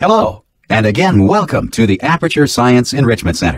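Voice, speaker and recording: With vocal fry and very wide pitch swings, a man speaks at a medium pitch and a fairly quick pace. The sound is dry and close, with no echo. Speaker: announcer voice test. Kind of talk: scripted game announcement read.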